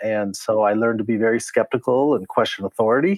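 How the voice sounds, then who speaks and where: Using a plain, everyday voice with a General American accent, a man speaks at a fairly quick pace, medium in pitch with lively intonation. The sound is dry and close, with no echo. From Colorado, Denver. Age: 60s. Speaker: zero waste advocate. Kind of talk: interview.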